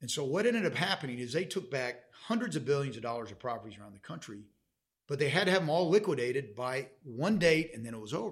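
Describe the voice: A man at a medium pitch, talking at a fast pace with big pitch swings.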